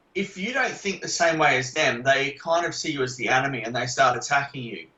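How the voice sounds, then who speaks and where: His pitch shifts in an ordinary way. The man speaks with an Australian accent. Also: fairly high pitch for a man, fairly quick pace. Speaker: investigative journalist and author. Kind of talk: podcast interview pre-talk. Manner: direct.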